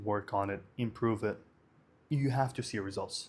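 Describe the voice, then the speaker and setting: Speaking with an Arabic accent, a man talks at medium pitch and a moderate pace. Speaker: vlogger. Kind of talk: casual monologue vlog. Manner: hesitant, many fillers.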